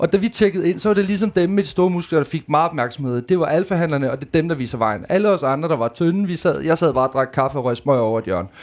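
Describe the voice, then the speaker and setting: Over a quiet background, a man races along at a very fast pace with hardly any pauses, his fairly high voice full of lively intonation. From Denmark, Djursland (Mols). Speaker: reality TV participant. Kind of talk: live panel conversation. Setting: stage with audience.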